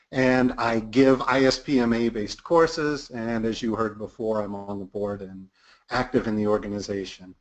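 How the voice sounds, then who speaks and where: An ordinary speaking voice from a man with an American accent. He keeps a moderate pace at medium pitch, with ordinary pitch variation. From United States. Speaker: product management consultant and trainer. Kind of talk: webinar presentation. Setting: online webinar.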